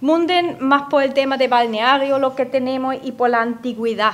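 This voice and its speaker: A woman with a German accent speaks at a fairly slow pace with fairly even intonation. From Austria, Upper Austria (Gmunden). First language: German (speaking Spanish). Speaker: radio guest from abroad. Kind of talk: radio interview. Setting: radio studio.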